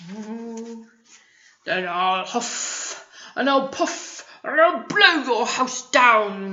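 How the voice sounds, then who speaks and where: A woman's put-on character voice, gruff and fairly high-pitched, shouting at a very slow pace. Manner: shouting, gruff.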